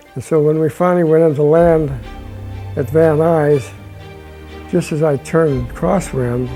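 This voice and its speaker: A man's fairly high-pitched voice with fairly even intonation and music in the background. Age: 80s+. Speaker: retired aircraft engine mechanic. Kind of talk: interview answer, personal reminiscence.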